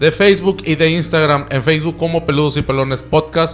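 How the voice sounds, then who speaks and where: The speaker is a man with vocal fry and a fairly high pitch. He moves at a fairly quick pace with fairly even intonation. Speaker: podcast host. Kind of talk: casual chat.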